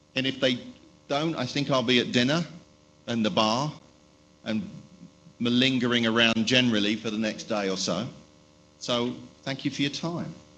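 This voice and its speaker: The speech has long, frequent pauses and audible room echo. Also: man, medium pitch for a man, ordinary pitch variation. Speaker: tech company spokesperson. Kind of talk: conference presentation. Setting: stage with audience. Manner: fast.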